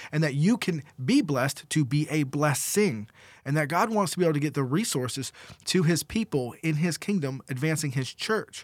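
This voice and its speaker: A man with a normal speaking voice and fairly high pitch talks at a moderate pace with lively intonation, in a very clean recording with a silent background and a dry, close sound with no echo. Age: 20s. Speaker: co-host. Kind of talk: devotional discussion; reading aloud.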